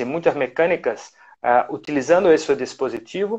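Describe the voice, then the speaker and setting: A man speaks with a Portuguese accent at a fairly slow pace. The background is quiet. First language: Portuguese (speaking Spanish). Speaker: orthodontics professor. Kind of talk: lecture. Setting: live stream. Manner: halting.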